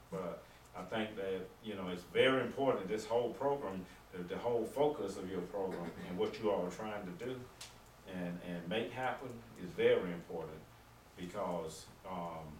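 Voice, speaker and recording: A man with a Southern US accent and a very deep, low pitch, ordinary pitch variation, a moderate pace with long, frequent pauses, audible room echo and noticeable background noise. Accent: Southern US (Georgia). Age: 60s. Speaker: deputy coroner. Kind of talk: town hall talk. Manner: halting.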